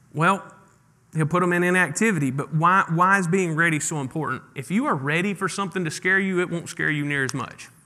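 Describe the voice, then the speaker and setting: A high-voiced man with a Mississippi accent talks at a fairly quick pace, his tone bright and sharp, with ordinary pitch variation. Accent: Southern US (Mississippi). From northeast Mississippi, US South. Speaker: pastor. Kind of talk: sermon. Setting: church.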